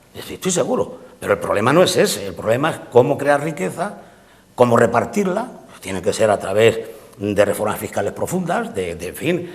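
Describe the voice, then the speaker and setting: There is noticeable background noise as a man speaks with very wide pitch swings. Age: 70s. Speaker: political commentator. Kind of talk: political panel debate. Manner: halting, with many fillers.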